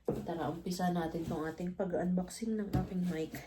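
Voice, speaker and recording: Speaking at a moderate pace with fairly even intonation, a woman's voice carries audible room echo. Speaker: vlogger. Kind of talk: casual unboxing vlog.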